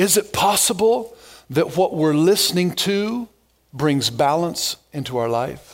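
Loud and high-pitched, a man is speaking. His intonation is lively. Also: fairly slow pace. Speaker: pastor. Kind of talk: sermon. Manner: normally loud.

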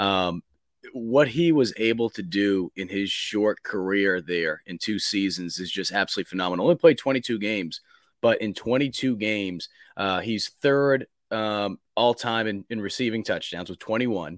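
A man with an American accent and a fairly low pitch speaks in an ordinary speaking voice at a moderate pace, with ordinary pitch variation and a dry, close sound with no echo. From Boston, US Northeast. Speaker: college football reporter. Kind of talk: casual chat.

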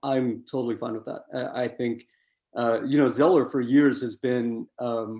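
The voice has a dark, mellow tone and an American accent. Its intonation is monotone and flat. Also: man. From New York. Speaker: basketball analyst. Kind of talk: casual chat.

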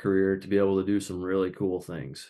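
The background stays quiet. In an American accent, a man is talking. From Minnesota. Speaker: outdoor communicator. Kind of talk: casual chat.

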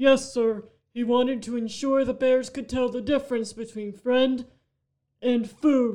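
Using a put-on character voice, a man speaks in an extremely high pitch at a moderate pace with monotone, flat intonation. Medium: audio drama.

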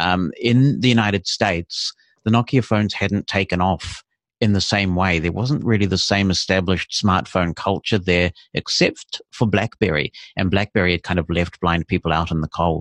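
In a New Zealand accent, a man with a very deep, low pitch speaks at a moderate pace with ordinary pitch variation, the sound dry and close with no echo against a quiet background. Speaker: assistive technology consultant. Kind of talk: interview. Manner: articulate.

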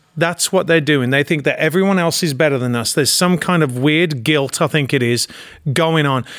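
A man with an English accent, fairly high-pitched, at a fairly quick pace, with ordinary pitch variation and very even loudness. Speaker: actor and producer. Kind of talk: casual political chat. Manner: halting.

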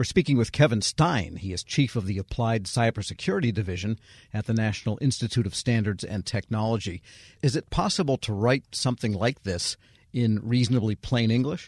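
A somewhat breathy voice at a fairly quick pace with ordinary pitch variation, in a dry, close sound with no echo and a quiet background. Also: man, medium pitch for a man. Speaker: radio host. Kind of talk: interview.

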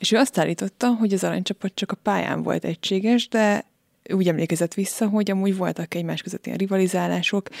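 A woman's voice in a very clean recording with a silent background, dry and close with no echo. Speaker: podcast host. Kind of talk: interview. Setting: studio.

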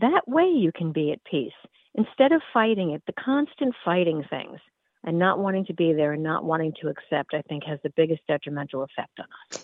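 This woman has a normal speaking voice, a fairly low pitch, an American accent, lively intonation and a fairly quick pace. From US Northeast. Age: 60s. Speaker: wellness educator. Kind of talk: interview.

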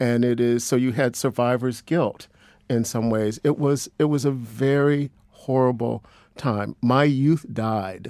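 With a normal speaking voice, a man talks at a medium pitch and a fairly slow pace with fairly even intonation. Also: very even loudness. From Cleveland, Ohio. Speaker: social work professor. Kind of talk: radio panel discussion.

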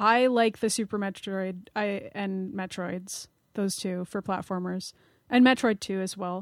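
In a very clean recording with a silent background, a woman at medium pitch speaks at a fairly slow pace with fairly even intonation. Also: dry, close sound with no echo. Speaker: games journalist. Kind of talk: casual chat.

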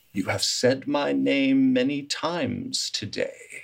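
This man adopts a put-on character voice. His delivery is fairly slow. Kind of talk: refined. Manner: solemn, ominous.

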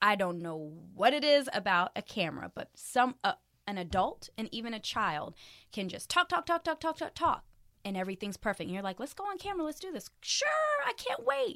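A woman speaks fairly quickly in a bright, sharp tone at fairly high pitch, with very wide pitch swings. The sound is dry and close, with no echo. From military family; grew up in Frankfurt, Germany, then Hampton, Virginia. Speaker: arena host and radio personality. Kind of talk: casual interview.

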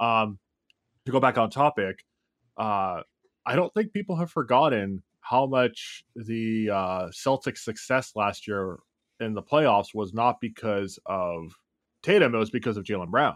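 In a very clean recording with a silent background and a dry, close sound with no echo, a man with an ordinary speaking voice talks at a fairly slow pace, at a medium pitch with ordinary pitch variation. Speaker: podcast co-host, Raptors fan. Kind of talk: casual sports chat podcast.

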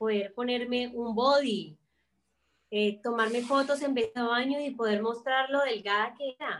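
A woman's high voice moves along at a fairly slow pace. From Colombia, Cali. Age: 20s. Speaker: actress and fashion designer. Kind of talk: casual chat. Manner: animated.

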